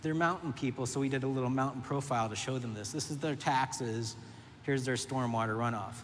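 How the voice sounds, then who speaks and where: The room echo is audible here. A man talks at a fairly quick pace. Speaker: urban planner. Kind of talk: conference talk. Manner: fast; animated.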